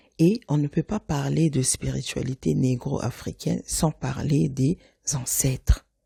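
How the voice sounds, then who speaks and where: A woman's very deep, low voice with a dark, mellow tone, vocal fry and very wide pitch swings. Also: dry, close sound with no echo. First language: Lingala (speaking French). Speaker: podcast host. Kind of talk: podcast monologue. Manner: casual, conversational with fillers; mixes French and Lingala.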